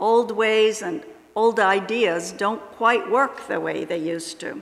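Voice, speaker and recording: A woman's fairly high voice at a fairly slow pace, with noticeable background noise and audible room echo. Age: 70s. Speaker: lay speaker at church service. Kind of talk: sermon.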